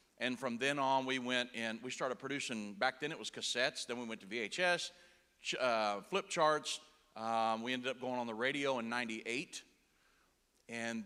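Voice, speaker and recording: A man with a Texas accent speaks at a moderate pace and medium pitch, his intonation fairly even and his tone bright and sharp. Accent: Texas twang. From Indiana. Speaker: preacher and broadcaster. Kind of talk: sermon. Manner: casual.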